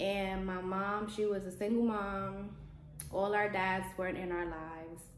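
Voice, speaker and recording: The voice is flat and monotone, moving at a fairly slow pace. Audible room echo and noticeable background noise fill the recording. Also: woman, medium pitch for a woman. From New York (Bronx/Brooklyn), Puerto Rico-born. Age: 20s. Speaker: lifestyle vlogger. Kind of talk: personal storytelling vlog. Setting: empty apartment.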